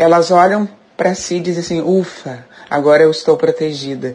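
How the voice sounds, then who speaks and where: Through noticeable background noise, a woman with a Gaúcho Brazilian accent talks at a moderate pace. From Rio Grande do Sul, Brazil. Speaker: listener commenter. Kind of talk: recorded listener message.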